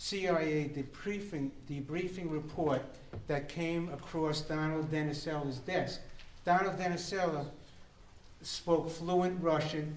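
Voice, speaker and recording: A man's fairly high voice at a fairly slow pace, fairly even in intonation, amid noticeable background noise and audible room echo. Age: 70s. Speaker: conference speaker. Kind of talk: conference talk. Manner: halting, repeats words.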